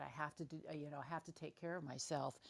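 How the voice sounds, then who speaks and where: A woman speaks in a very deep, low pitch. Her intonation is monotone and flat. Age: 70s. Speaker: club member. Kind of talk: casual group chat. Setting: social audio room.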